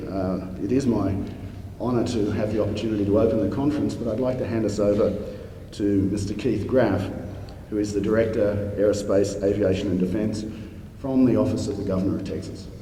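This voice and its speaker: Speaking with an Australian accent, a man has a fairly low pitch and fairly even intonation. His pace is fairly quick, and audible room echo surrounds him. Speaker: space society president opening a conference. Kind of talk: conference welcome speech. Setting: conference stage with audience.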